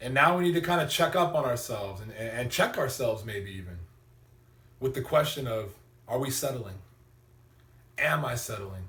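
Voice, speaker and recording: A man with an energetic, bright, sharp tone and lively intonation speaks with long, frequent pauses amid audible room echo. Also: medium pitch for a man, moderate pace. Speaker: motivational vlogger. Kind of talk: motivational talk.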